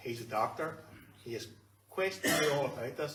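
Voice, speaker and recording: A man with a Northern Irish accent speaks at a fairly quick pace and a medium pitch, with ordinary pitch variation. Audible room echo and noticeable background noise come through. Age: 60s. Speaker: canary breeder. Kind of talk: testimony.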